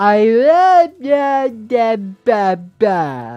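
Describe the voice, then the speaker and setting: The voice is a put-on character voice, pitched fairly high. Its pitch swings very widely. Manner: silly, playful.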